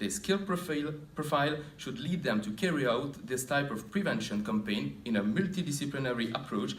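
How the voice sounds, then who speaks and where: With lively intonation, a man speaks at a moderate pace and medium pitch in a room with audible echo. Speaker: occupational health researcher. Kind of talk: conference presentation. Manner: formal; halting.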